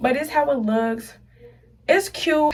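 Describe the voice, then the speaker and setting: A woman speaks with ordinary pitch variation. Audible room echo and noticeable background noise surround her. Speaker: beauty vlogger. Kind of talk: casual tutorial vlog. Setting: bathroom. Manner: fast; animated.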